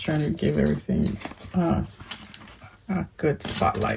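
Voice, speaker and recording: Soft-spoken and fairly slow, a woman talks amid noticeable background noise. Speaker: fashion vlogger. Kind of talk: casual chat. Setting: at home at night.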